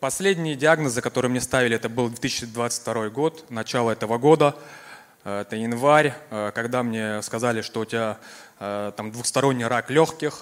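A man at medium pitch talks at a moderate pace with ordinary pitch variation in an ordinary speaking voice. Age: 30s. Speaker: cancer survivor giving testimony. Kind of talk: testimony. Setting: church service.

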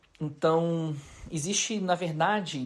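He is a man whose voice sits high in pitch. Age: 40s. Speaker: pastor. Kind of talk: recorded testimony.

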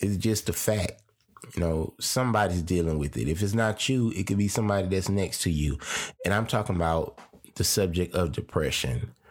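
Speaking at a fairly quick pace, a man has a very deep, low pitch. His pitch variation is ordinary. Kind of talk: solo podcast monologue on faith. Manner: halting with fillers and repetitions.

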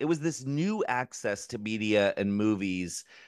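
A man's plain, everyday voice with an American accent, medium in pitch, at a fairly slow pace against a quiet background. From US, Maryland. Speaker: drag performer and filmmaker. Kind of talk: casual interview.

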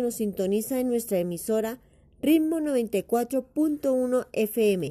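Her voice is fairly high in pitch for a woman, with a dark, mellow tone and ordinary pitch variation. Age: 40s. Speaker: schoolteacher and school radio presenter. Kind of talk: educational radio program presentation. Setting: local radio broadcast.

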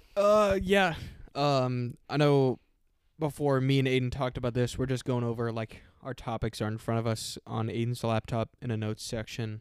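On a very clean recording with a silent background and a dry, close sound with no echo, a man at medium pitch talks at a moderate pace with ordinary pitch variation. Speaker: podcast co-host. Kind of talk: casual chat.

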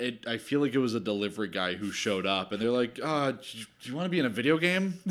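In an unremarkable speaking voice, a man with a medium pitch uses lively intonation on a very clean recording with a silent background. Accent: American. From South Jersey, US. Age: 30s. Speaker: filmmaker. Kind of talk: casual chat.

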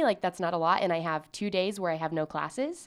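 On a very clean recording with a silent background, a woman with a fairly low pitch talks fairly quickly in a normal speaking voice. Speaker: podcast co-host, student. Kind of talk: casual chat. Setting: studio.

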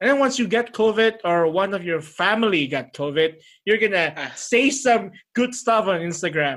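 With an Indonesian accent, a man talks in a high voice with lively intonation. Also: moderate pace. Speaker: podcast host. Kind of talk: casual chat. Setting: video call.

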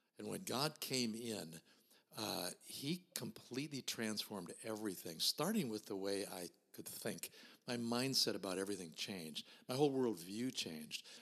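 A man with an American accent speaks at a moderate pace and a fairly low pitch, using lively intonation. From US Midwest. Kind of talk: casual interview, personal testimony.

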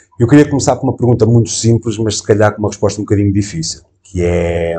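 A man talks fairly quickly in a dark, mellow tone that comes out somewhat breathy. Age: 40s. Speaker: podcast host. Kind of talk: interview conversation. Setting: on location in a restaurant.

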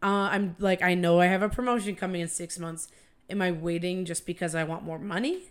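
At a fairly quick pace, a woman speaks in a plain, everyday voice with fairly low pitch and fairly even intonation. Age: 20s. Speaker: publishing professional. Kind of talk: casual chat.

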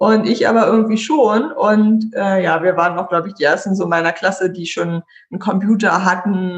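A somewhat breathy woman's voice at a medium pitch, with ordinary pitch variation and a moderate pace. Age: 30s. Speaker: IT consultant. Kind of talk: casual chat. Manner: animated.

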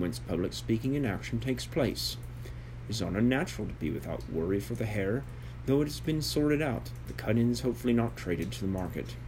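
Speaking at a fairly quick pace with an American accent, this voice carries audible room echo. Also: man. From United States. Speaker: author reading own book. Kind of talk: reading aloud.

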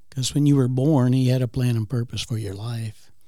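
A man speaks at a medium pitch in a dark, mellow tone that is somewhat breathy. His intonation is fairly even. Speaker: guest co-host. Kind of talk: casual chat.

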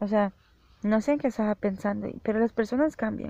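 Medium-pitched female voice, dark and mellow in tone. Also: dry, close sound with no echo. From El Salvador. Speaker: podcaster and freelance programmer. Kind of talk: solo podcast monologue.

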